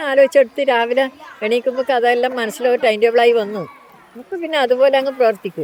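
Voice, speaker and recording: Crowd noise fills the background as a woman speaks in a high pitch with ordinary pitch variation. Her loudness swings widely. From Kerala, India. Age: 60s. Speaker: dairy farmer and swimming teacher. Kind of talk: documentary interview answer.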